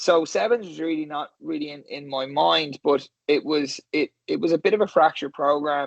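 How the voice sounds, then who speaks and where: In an Irish accent, the voice moves at a moderate pace with hardly any pauses, ordinary pitch variation and big swings in loudness. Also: man, fairly high pitch for a man. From Ireland, Skerries near Dublin. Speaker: rugby coach. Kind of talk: interview. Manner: halting, many repeated words.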